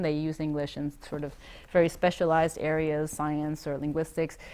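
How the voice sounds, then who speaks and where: A woman speaks at a fairly quick pace. Her pitch is very deep and low. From Maine, US, Taiwanese family. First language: Taiwanese. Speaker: interviewee on language learning. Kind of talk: interview answer. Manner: hesitant, with fillers and restarts.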